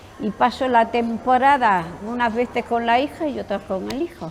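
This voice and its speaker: The voice moves at a fairly slow pace with lively intonation. Background noise is noticeable. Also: woman. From Spain, Extremadura (north Cáceres). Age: 90s. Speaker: retired spa worker. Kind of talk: interview reminiscence.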